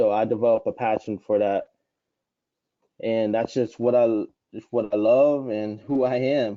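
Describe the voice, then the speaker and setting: Man with an American accent at medium pitch and a moderate pace. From Florida, Gainesville. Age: 20s. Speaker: online publishing trainer. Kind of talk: live webinar interview.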